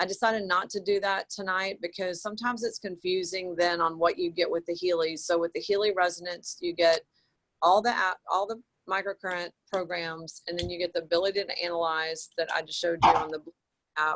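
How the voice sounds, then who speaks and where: A woman's fairly low voice, an unremarkable speaking voice at a fairly quick pace, with fairly even intonation and a dry, close sound with no echo. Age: 50s. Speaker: naturopathic doctor and product presenter. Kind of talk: online group call presentation. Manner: casual, filler-heavy.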